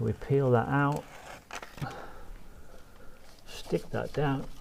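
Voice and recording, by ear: Here a man talks at medium pitch with vocal fry. His tone is slightly mellow.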